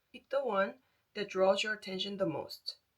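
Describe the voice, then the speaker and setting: A woman is speaking. She has a Korean accent. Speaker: tarot reader. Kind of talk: tarot reading.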